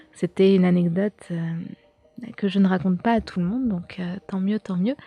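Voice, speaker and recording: A woman at a moderate pace with fairly even intonation, dry and close with no echo, music playing in the background. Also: medium pitch for a woman. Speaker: YouTuber and podcaster on occultism and pop culture. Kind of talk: casual solo podcast talk. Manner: hesitant, many fillers.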